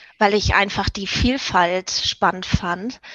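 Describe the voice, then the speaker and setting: A woman's bright, sharp tone at medium pitch and a very slow pace, with a dry, close sound with no echo and a quiet background. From Germany, Hamburg. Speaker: hospitality professional and network leader. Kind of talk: interview. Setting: video call.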